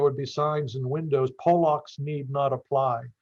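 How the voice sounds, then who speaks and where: A somewhat breathy, fairly high male voice with an American accent and monotone, flat intonation. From northeastern Pennsylvania. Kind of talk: interview. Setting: podcast. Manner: halting, many fillers.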